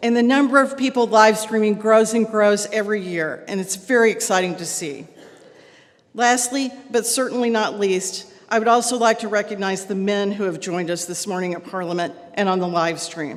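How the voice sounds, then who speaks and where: A woman with a Texan accent talks at medium pitch and a moderate pace with ordinary pitch variation amid noticeable background noise. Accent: Texan American English. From Texas. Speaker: club president. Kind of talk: welcome speech.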